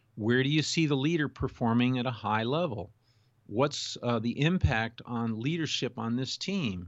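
This is a normal speaking voice with an American accent and lively intonation. The pace is moderate. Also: man, medium pitch for a man. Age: 60s. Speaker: executive coach. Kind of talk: interview.

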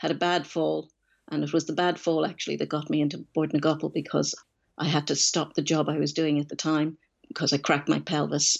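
This woman speaks in a Dublin accent at a fairly quick pace. Her loudness stays very even. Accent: Dublin Irish. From Dublin, Ireland. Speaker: equestrian journalist. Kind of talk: interview.

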